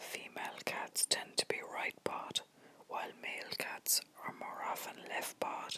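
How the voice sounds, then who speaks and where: Someone whispers at a moderate pace. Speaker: ASMR content creator. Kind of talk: ASMR whispered facts video to help viewers sleep. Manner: whispered, soft, relaxing.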